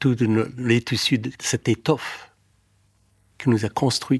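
In a very clean recording with a silent background and a dry, close sound with no echo, a man speaks in a somewhat breathy, medium-pitched voice with ordinary pitch variation. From Afghanistan. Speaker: novelist and filmmaker. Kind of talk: personal testimony.

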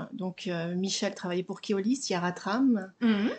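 Her pitch sits at a medium level for a woman, with ordinary pitch variation, in an ordinary speaking voice. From Haute-Savoie, France. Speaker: small business founder. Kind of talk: interview. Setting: home recording, window open.

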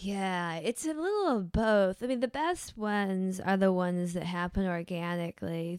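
Her voice is a plain, everyday voice, medium in pitch for a woman, with ordinary pitch variation. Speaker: novelist. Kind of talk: casual chat. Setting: studio.

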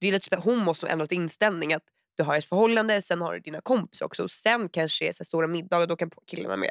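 This woman speaks at a very fast pace with a fairly low pitch. The sound is dry and close with no echo, and her pitch variation is ordinary. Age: 20s. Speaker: podcast co-host. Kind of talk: casual chat.

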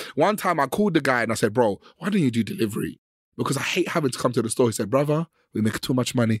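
In a London accent, a man talks at a very fast pace and a medium pitch. His tone is animated. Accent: London Multicultural English. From West London. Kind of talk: casual chat.

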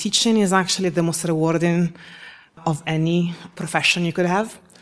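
A woman speaks with an Italian accent. Her pitch is fairly low. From Italy. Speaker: architect and educator. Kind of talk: lightning-round interview at a live event. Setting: stage with live audience.

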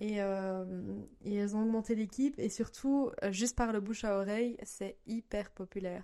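Moderate-paced speech from a woman, dark and mellow in tone, with fairly even intonation. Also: medium pitch for a woman. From Belgium. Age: 20s. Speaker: mother of two. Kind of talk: casual interview.

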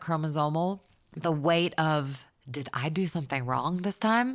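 With an American accent, a woman speaks in a normal speaking voice at a moderate pace with ordinary pitch variation. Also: very clean recording, silent background. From US South. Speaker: songwriter. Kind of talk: casual chat. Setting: at home.

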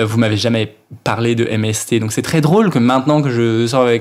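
A man with a medium pitch talks as noticeable background noise carries on behind him. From Brittany, Finistère, France. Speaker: drag queen. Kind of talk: casual chat.

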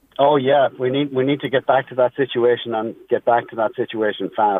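With an American accent, a man speaks at a moderate pace and with fairly even intonation. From Ireland (County Meath). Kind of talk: radio interview. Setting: phone call.

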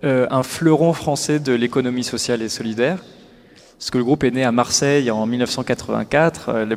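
A man's medium-pitched voice holds fairly even intonation while noticeable background noise plays behind it. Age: 30s. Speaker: social enterprise executive. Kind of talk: interview. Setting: live forum event.

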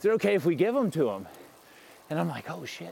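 In a Southern US accent, a man with a fairly high pitch speaks at a fairly quick pace. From US South (south Mississippi). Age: 40s. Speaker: tech company founder. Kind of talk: casual interview. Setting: outdoors, riding a bike. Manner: hesitant, many fillers.

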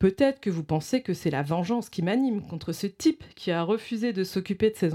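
Her voice has a dark, mellow tone and a medium pitch, moving at a moderate pace. This woman's pitch swings very widely in a very clean recording with a silent background. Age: 40s. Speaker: radio show co-host. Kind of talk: reading aloud. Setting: studio.

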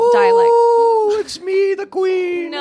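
An extremely high, put-on character voice from a man. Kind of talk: posh, regal. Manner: playful, theatrical.

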